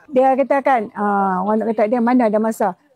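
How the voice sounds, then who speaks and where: A woman's dark, mellow voice at a fairly high pitch, with ordinary pitch variation and moderate pace, in a dry, close sound with no echo. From Malaysia, Kedah. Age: 80s+. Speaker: retired gardener, customer. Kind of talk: casual chat. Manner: animated.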